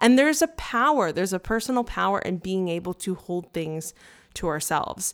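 In an animated tone with lively intonation, a woman speaks at a fairly quick pace and medium pitch on a very clean recording with a silent background. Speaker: astrologer. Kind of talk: casual chat. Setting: studio. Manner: fast.

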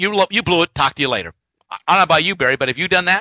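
This man speaks at a high pitch. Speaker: radio host. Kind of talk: radio talk show. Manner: fast talker; intense.

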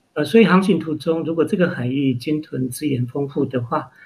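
His pitch varies in an ordinary way. The man's voice is somewhat breathy. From Taiwan, Hualien. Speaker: marine literature writer and foundation founder. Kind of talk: interview. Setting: remote interview.

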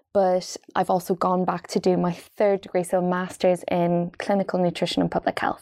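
A woman with an Irish accent speaks at a moderate pace and medium pitch, in a dark, mellow tone with monotone, flat intonation. The sound is dry and close with no echo, over a quiet background. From Ireland, Dundalk. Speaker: doctor and health author. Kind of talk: interview.

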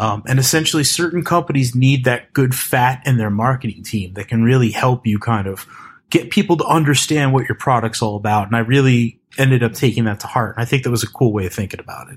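Talking at a very fast pace with hardly any pauses, a man has an American accent and a somewhat breathy voice. The recording is very clean, with a silent background and nothing else audible. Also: medium pitch for a man, ordinary pitch variation. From US East Coast. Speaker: developer advocate. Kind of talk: casual chat.

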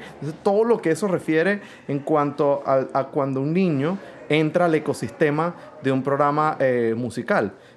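There is noticeable background noise. A man speaks in a fairly high pitch. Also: ordinary pitch variation, moderate pace. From Venezuela. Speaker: orchestra conductor. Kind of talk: interview. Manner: halting.

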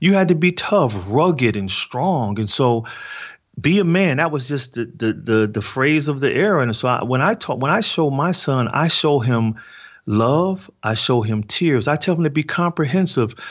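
A man with an American accent talks in a normal speaking voice, using lively intonation at a moderate pace. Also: fairly high pitch for a man. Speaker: author and nonprofit leader. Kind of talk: interview testimony.

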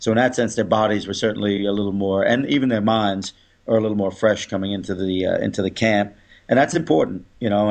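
A man at a very fast pace, with a fairly low pitch and fairly even intonation. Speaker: rugby club coach. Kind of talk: casual chat.

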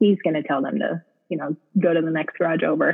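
A woman talks at a moderate pace. Her pitch rises and falls in an ordinary way. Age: 30s. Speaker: WordPress developer. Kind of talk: casual interview chat. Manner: hesitant, many fillers.

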